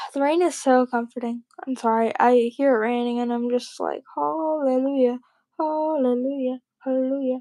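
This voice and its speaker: With a high pitch and a dark, mellow tone, a woman speaks in a dry, close sound with no echo. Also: moderate pace. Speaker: livestreamer. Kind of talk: casual chat. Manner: monotone.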